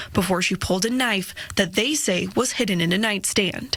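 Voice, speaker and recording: Over noticeable background noise, a woman with an American accent speaks at a fairly quick pace, her pitch varying in an ordinary way. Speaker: television news reporter. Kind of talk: TV news reporting, on-location report.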